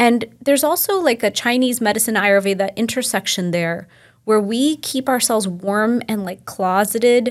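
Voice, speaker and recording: In an unremarkable speaking voice with an American accent, a woman talks at a moderate pace and a fairly high pitch with ordinary pitch variation, in a very clean recording with a silent background. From Texas. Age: 40s. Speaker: Ayurvedic practitioner. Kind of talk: casual interview.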